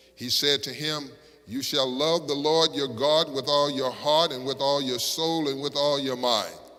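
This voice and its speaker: With an American accent, a man speaks at a fairly high pitch and a fairly slow pace over noticeable background noise. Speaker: Baptist pastor. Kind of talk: scripture reading from a pulpit. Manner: measured, reverent reading.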